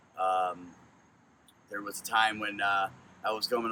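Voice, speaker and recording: Over noticeable background noise, a man with an American accent speaks at a moderate pace and fairly low pitch. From Connecticut. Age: 40s. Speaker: truck driver. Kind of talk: audition monologue. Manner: loud.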